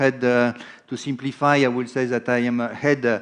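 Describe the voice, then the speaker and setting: A man at a medium pitch with a French accent and fairly even intonation. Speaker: insurance executive. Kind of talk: conference presentation. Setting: stage with live and online audience.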